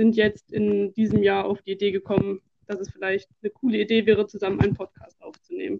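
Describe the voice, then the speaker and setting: Fairly quick and at medium pitch, a woman talks in an unremarkable speaking voice with a dry, close sound and no echo. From Germany, Duisburg (Ruhr area). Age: 20s. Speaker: podcast co-host, student teacher of religion. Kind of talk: scripted podcast trailer.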